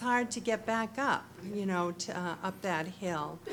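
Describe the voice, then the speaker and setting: Medium pitch from a woman, a plain, everyday voice, moderate pace and ordinary pitch variation. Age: younger than 68. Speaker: resident asking questions. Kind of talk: public comment. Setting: public meeting room.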